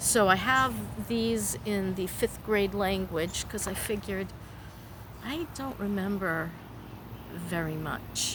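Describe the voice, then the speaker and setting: A woman speaks at a very slow pace, with long, frequent pauses and very wide pitch swings. Audible room echo surrounds her voice. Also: medium pitch for a woman. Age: 60s. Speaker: vlogger. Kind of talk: personal vlog monologue. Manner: halting.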